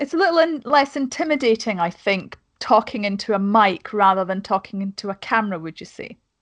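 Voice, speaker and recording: In a Scottish accent, the speech runs at a fairly quick pace with hardly any pauses and lively intonation. Loudness swings widely, and the sound is dry and close with no echo. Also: woman, fairly high pitch for a woman, quiet background. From Scotland. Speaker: podcast host and YouTuber. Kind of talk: casual chat. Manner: talkative.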